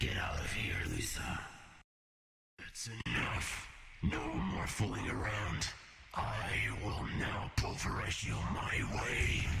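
A man's put-on character voice, very deep and low, raspy and menacing in tone, with very wide pitch swings, a very slow pace and long, frequent pauses. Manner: menacing, grandiose.

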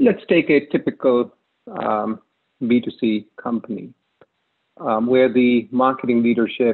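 The setting is quiet. A man does the talking. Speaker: presenter. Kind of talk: conference talk. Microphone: webcam.

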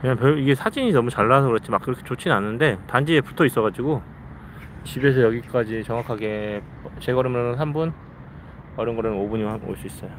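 Over light background noise, a man talks at a very fast pace with ordinary pitch variation and a dry sound with no echo. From South Korea. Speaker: live streamer, father; live streamer. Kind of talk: casual live stream chat. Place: forest. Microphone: phone near.

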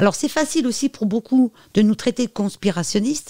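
With lively intonation and a fairly quick pace, a woman talks in a fairly high, dark, mellow voice, recorded dry and close with no echo. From France. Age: 50s. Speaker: medium and psychic. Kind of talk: interview.

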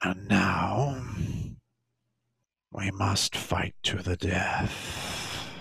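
In a put-on character voice, a man with a raspy, fairly low voice speaks at a very slow pace, leaving long, frequent pauses, with ordinary pitch variation. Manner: curt, imperious.

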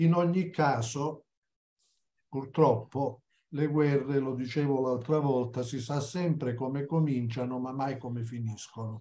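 Speaking fairly slowly, a man has a dark, mellow tone that is somewhat breathy, with fairly even intonation. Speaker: history commentator. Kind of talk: lecture. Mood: reflective, slightly wry. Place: home room. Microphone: video call.

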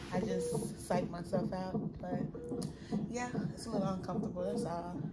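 Music plays behind a woman's voice. She talks at a moderate pace. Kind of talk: casual vlog chat. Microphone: phone near.

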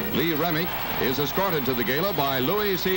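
Someone talks at a fairly quick pace over loud background noise. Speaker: newsreel narrator. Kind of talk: newsreel narration. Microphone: old recording.

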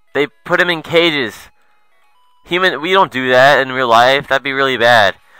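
A man at a medium pitch and moderate pace, his pitch swinging very widely, dry and close with no echo, music in the background. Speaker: let's play gamer. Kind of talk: gameplay commentary. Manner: animated.

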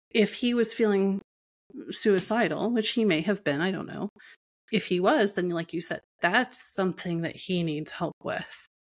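Set against a quiet background, the speech moves at a moderate pace with ordinary pitch variation. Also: woman. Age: 40s. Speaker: entrepreneur and abuse survivor sharing her story; podcast guest. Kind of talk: personal testimony in interview. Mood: reflective, serious personal story. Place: home room. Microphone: earbuds.

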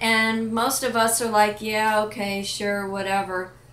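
A woman speaks with a bright, sharp tone. Her pace is fairly slow. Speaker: life and business coach, vlogger. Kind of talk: pep talk, motivational monologue to camera. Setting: home kitchen, self-recorded video. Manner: earnest, emphatic, direct, encouraging.

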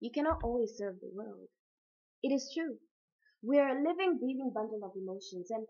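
Against a quiet background, a woman talks at a fairly quick pace with a high pitch. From Africa. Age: young. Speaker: spoken word poet. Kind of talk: poetry reading. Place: home room. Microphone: webcam.

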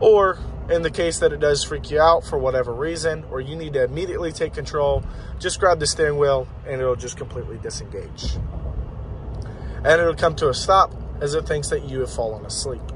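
Noticeable background noise sits behind a man talking at a fairly quick pace. The sound is dry, with no echo. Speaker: driver demonstrating vehicle feature. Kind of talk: tutorial. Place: car. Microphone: phone near.

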